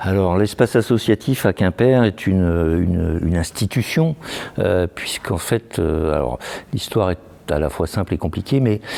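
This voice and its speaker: At a moderate pace, a man speaks with a very deep, low pitch and lively intonation. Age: 60s. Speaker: association president. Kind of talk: interview. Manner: halting.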